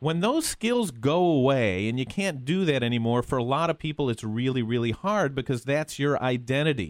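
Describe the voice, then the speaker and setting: A man with an ordinary speaking voice, medium in pitch, at a fairly quick pace with lively intonation. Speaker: radio host. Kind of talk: radio interview, casual chat.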